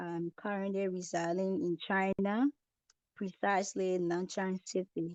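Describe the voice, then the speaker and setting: A soft-spoken woman with a medium pitch and a dark, mellow tone speaks at a fairly slow pace. Her pitch varies in an ordinary way, with a dry, close sound and no echo. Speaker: student presenter. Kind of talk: online group presentation.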